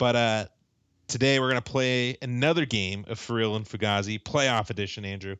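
A man talks at a medium pitch in a normal speaking voice with ordinary pitch variation. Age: 30s. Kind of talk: casual chat.

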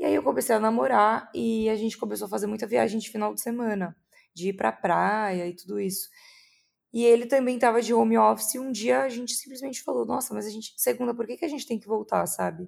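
A woman talks at a very fast pace with big swings in loudness, captured in a very clean recording with a silent background. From São Paulo state, Brazil. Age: 20s. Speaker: content creator. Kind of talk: interview.

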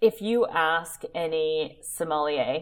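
A woman with a West Coast US accent speaks at a very deep, low pitch. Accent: General American (West Coast). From US West Coast, Oakland, California. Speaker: olive oil producer and founder. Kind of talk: interview.

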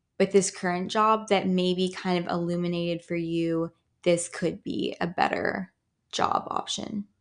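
A woman talks in an ordinary speaking voice at medium pitch and a fairly slow pace, with ordinary pitch variation. The background is quiet. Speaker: podcast host. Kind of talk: casual chat. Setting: studio.

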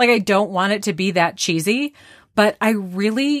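With lively intonation and an animated tone, a woman talks at a medium pitch in a dry, close sound with no echo over a very clean recording with a silent background. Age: 40s. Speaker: podcast host. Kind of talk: casual chat.

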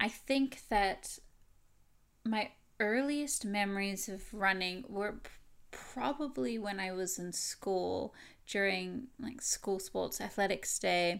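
On a very clean recording with a silent background, a woman with an American accent speaks very slowly at medium pitch with lively intonation. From USA, Idaho. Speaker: podcaster and gaming streamer. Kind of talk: personal monologue. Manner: halting.

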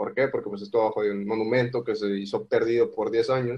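A man speaks with ordinary pitch variation. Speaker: podcast guest. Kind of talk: casual chat.

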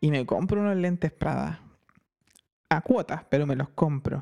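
With music in the background, someone speaks in a Chilean accent at a fairly slow pace. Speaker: podcast co-host. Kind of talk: casual comedic chat. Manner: animated, frequent laughter.

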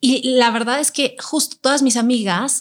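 A woman with an unremarkable speaking voice, fairly high pitch and fairly slow pace. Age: 40s. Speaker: workshop leader on childfree choice. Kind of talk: casual chat.

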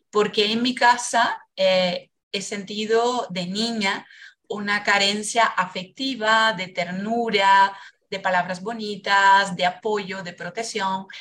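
With a Portuguese accent, a woman speaks very slowly at a medium pitch, her tone bright and sharp and her intonation fairly even. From Brazil. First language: Portuguese (speaking Spanish). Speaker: biodanza facilitator. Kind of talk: casual interview, life story testimony. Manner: passionate.

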